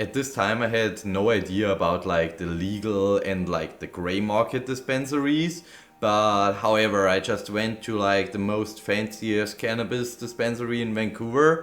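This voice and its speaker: Over music in the background, a man with a Bavarian accent speaks at a moderate pace with fairly low pitch and ordinary pitch variation. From Bavaria, Germany. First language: German. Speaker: vlogger, cannabis dispensary worker. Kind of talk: casual vlog recap. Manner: loud.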